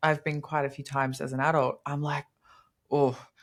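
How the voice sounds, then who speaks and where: A woman with a very deep, low pitch speaks in an Australian accent. The recording is very clean, with a silent background. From Australia, Queensland. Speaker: bodybuilder. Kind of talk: casual chat. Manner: animated.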